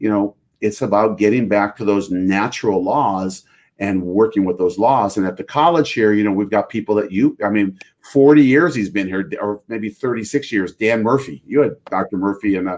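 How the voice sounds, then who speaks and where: A man speaks in an unremarkable speaking voice, fairly low in pitch with ordinary pitch variation. His pace is moderate. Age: 60s. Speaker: chiropractic college president. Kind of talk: podcast interview.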